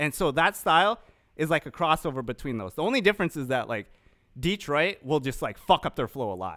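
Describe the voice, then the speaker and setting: The man's voice is fairly high, bright and sharp, with vocal fry and very wide pitch swings. He moves at a fairly quick pace, and the sound is dry and close with no echo. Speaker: podcast co-host. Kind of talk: casual chat. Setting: video call. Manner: casual.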